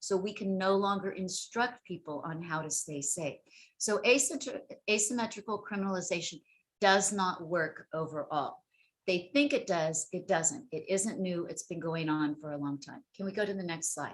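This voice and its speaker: A normal speaking voice from a woman at medium pitch, lively intonation and moderate pace, big swings in loudness, quiet background. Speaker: sex worker rights advocate. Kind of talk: webinar presentation.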